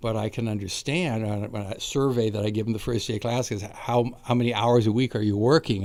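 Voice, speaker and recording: A man with a Californian accent at a fairly quick pace. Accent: General American (Californian). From US West Coast, Napa California. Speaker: college astronomy teacher. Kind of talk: casual interview. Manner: halting.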